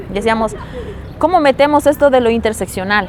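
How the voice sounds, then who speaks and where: Against noticeable background noise, a woman speaks in a fairly high voice with ordinary pitch variation. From Bolivia, Potosí (rural highland community). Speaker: feminist activist, psychologist. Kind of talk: interview.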